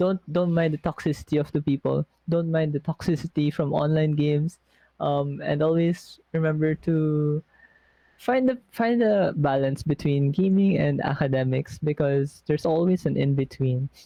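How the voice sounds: A man with a fairly high pitch and a dark, mellow tone speaks at a moderate pace, with vocal fry and fairly even intonation, in a dry, close sound with no echo.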